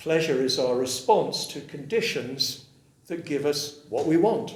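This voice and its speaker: With an English accent, a man speaks at a fairly slow pace in a fairly high pitch with lively intonation, and audible room echo surrounds him. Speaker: Buddhist teacher. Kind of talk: dharma talk with consecutive interpretation. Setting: room with audience.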